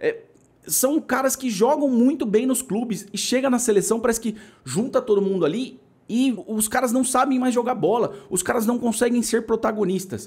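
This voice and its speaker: In an animated tone, a man with an extremely high voice speaks at a moderate pace with ordinary pitch variation. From Brazil. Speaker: football commentator YouTuber. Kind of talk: opinion vlog monologue. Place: home room. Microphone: studio mic.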